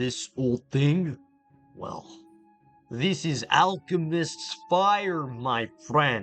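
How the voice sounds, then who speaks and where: A man talks at a very slow pace in a put-on character voice, pitched fairly high. Faint music plays in the background. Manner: friendly, salesmanlike.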